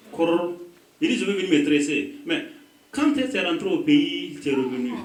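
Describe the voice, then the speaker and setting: Amid audible room echo and noticeable background noise, a man with an African accent and a high pitch talks at a fairly quick pace, his pitch swinging very widely. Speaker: pastor. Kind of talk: sermon. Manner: animated.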